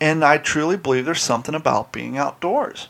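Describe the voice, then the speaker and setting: Delivering his words at a fairly quick pace, a man with a Southern US accent keeps his intonation fairly even. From US South. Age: 40s. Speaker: podcast host. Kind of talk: casual chat. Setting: studio.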